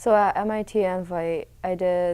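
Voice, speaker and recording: A woman's fairly low, dark, mellow voice with a New England accent, monotone and flat in intonation, in a very clean recording with a silent background. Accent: American (New England). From Connecticut, moved from China in second grade. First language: Mandarin Chinese. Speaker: college swimmer. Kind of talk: interview. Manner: casual, many fillers.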